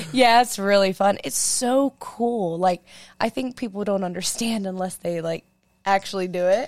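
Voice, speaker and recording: With ordinary pitch variation, a woman uses a normal speaking voice. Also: medium pitch for a woman, moderate pace. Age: 20s. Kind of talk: casual chat.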